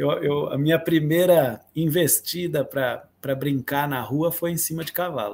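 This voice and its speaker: In a plain, everyday voice, a man speaks at a fairly high pitch and a fairly slow pace with hardly any pauses. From Atibaia, São Paulo state, Brazil. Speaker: musician and composer. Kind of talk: interview.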